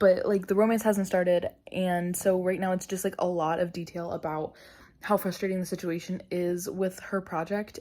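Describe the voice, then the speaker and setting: Soft-spoken and dark, mellow in tone, the voice moves at a moderate pace with monotone, flat intonation on a very clean recording with a silent background. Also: woman. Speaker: book vlogger. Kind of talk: casual vlog talk. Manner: rambling with many fillers.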